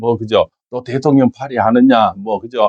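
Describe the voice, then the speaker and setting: The man's medium-pitched voice moves at a moderate pace, recorded dry and close with no echo. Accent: Gyeongsang. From Gyeongsang region, Korea. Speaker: fortune teller and saju lecturer. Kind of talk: fortune-telling talk with political opinion. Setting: office. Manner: animated.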